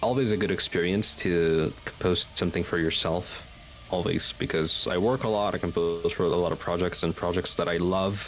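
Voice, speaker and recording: Music plays behind a man with a very deep, low pitch. He talks at a moderate pace with fairly even intonation. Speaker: composer and singer. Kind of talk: casual interview. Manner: hesitant, many fillers.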